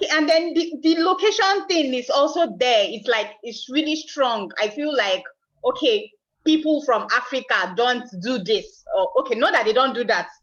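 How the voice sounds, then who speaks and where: A woman with a Nigerian accent speaks at a high pitch and a moderate pace. Her pitch swings very widely. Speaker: aspiring entrepreneur, virtual assistant. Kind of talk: coaching session. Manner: halting.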